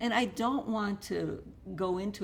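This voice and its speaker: A woman talks with vocal fry. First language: Russian. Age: 70s. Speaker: author. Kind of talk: interview.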